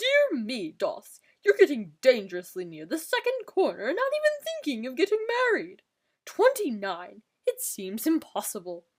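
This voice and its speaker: A high pitch marks this put-on character voice. Its pace is moderate. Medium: read story. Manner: jocular, patronizing.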